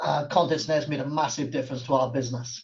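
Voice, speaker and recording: Speaking very fast in a Welsh accent, a man has a fairly high, somewhat breathy voice and a monotone, flat intonation. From South Wales. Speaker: accounting firm owner. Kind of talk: webinar panel talk. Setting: online webinar.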